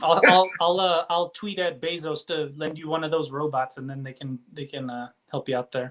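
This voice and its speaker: There are big swings in loudness as a man with an unremarkable speaking voice talks at a fairly high pitch and a moderate pace with fairly even intonation. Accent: American. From Texas, El Paso. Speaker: illustrator and comic book artist. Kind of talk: casual chat.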